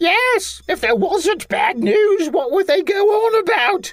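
An extremely high voice with very wide pitch swings moves at a fairly slow pace, its loudness very even. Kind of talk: comic sketch acting. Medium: read story. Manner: chatty, silly, cheerfully flippant.

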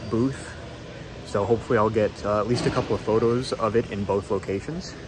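Over noticeable background noise, a man talks at a fairly low pitch. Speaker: hobbyist vlogger. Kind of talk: casual vlog chat. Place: hall. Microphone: phone near.

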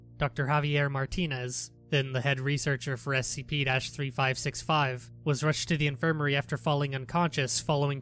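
A man's fairly high-pitched, monotone voice at a fairly quick pace, with hardly any pauses and music in the background. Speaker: SCP narrator. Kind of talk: SCP article reading.

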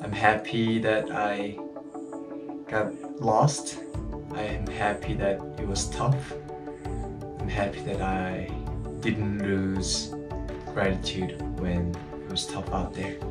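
A man at a very slow pace, with long, frequent pauses and loud music in the background. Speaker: runner vlogger. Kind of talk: casual vlog chat. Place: home room. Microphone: phone near.

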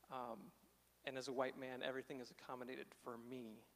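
A man speaks with an American accent at a medium pitch. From southern Illinois, small town. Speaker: speaker. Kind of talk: testimony. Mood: reflective, candid. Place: church. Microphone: handheld.

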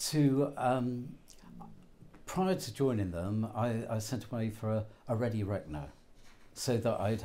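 Speaking with a southern English accent, a man with a dark, mellow tone and fairly low pitch keeps a moderate pace and ordinary pitch variation. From southern England. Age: 80s+. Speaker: betting shop worker. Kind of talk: interview. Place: shop. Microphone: lapel.

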